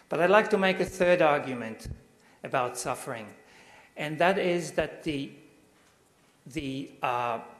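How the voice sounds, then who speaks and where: Noticeable background noise sits behind a man's voice. He speaks at a fairly slow pace with lively intonation. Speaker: university lecturer. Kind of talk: lecture. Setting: stage with audience. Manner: halting.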